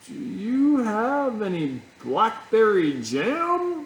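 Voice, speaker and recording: In a put-on character voice, a man speaks at a high pitch with very wide pitch swings and a very slow pace. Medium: read story. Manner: muddled, grumbling.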